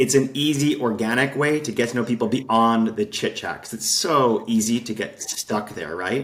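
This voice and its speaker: A man with a normal speaking voice and an American accent talks at a medium pitch and a fairly quick pace, his intonation fairly even. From Utah, US (Salt Lake City). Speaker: game designer, entrepreneur. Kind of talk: podcast interview.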